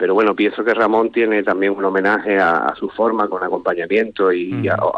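This man has a plain, everyday voice. He talks fairly quickly at a fairly low pitch. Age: 40s. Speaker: flamenco guitarist and teacher. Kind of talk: radio interview. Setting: phone call.

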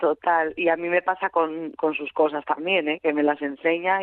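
The woman's pitch is very deep and low, her intonation monotone and flat. She keeps a moderate pace. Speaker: actress. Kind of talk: radio interview.

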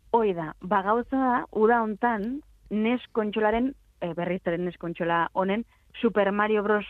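A woman talks in an ordinary speaking voice with ordinary pitch variation. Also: medium pitch for a woman. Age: 20s. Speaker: video game commentator. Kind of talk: casual chat.

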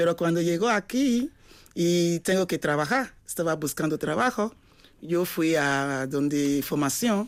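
A woman with a non-native accent and a fairly low pitch, on a very clean recording with a silent background. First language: not Spanish (speaking Spanish). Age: 40s. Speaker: adult education student. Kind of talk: radio interview.

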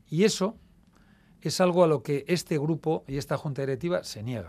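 A man with a fairly high pitch speaks with lively intonation in a very clean recording with a silent background. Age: 60s. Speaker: club presidential candidate. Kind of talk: radio interview.

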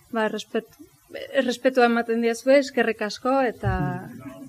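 A woman's ordinary speaking voice, fairly high in pitch, with fairly even intonation. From Astigarraga, Gipuzkoa, Basque Country. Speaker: pianist. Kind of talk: talk at book presentation. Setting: live event with audience.

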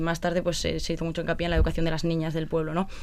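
A woman is speaking here. Her voice is fairly low. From Basque Country, Spain (Vitoria). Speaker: former TV contestant, charity project volunteer. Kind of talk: interview.

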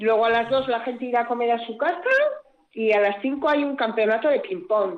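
A woman talks at a fairly quick pace with a fairly high pitch and ordinary pitch variation. She has a plain, everyday voice. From Basque Country, Gipuzkoa (Tolosa). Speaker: village council president. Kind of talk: radio interview.

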